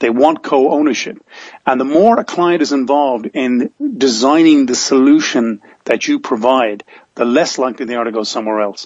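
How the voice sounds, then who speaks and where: This man, with an Irish accent, talks at a medium pitch. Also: ordinary pitch variation, moderate pace. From Ireland. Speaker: business coach and author. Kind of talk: interview conversation.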